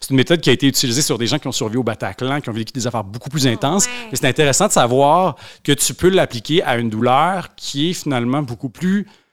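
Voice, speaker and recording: A man talks at a fairly quick pace in a normal speaking voice. His pitch variation is ordinary. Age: 30s. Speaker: author. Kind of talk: casual chat.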